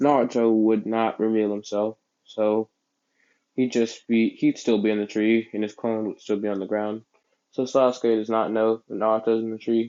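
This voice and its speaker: A man at a moderate pace, fairly low in pitch, with monotone, flat intonation. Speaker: fan fiction storyteller. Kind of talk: casual improvised storytelling.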